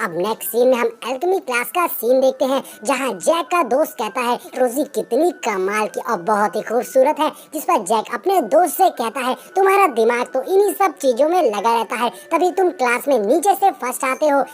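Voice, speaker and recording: A female-sounding voice, high for a woman, performs a put-on character voice at a moderate pace with hardly any pauses. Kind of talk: movie explanation narration. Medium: read story. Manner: brisk, chatty.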